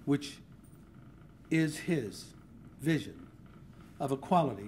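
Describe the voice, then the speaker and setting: Somewhat breathy, a man speaks with ordinary pitch variation in audible room echo. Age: 60s. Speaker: journalist giving a speech. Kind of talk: public speech. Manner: formal.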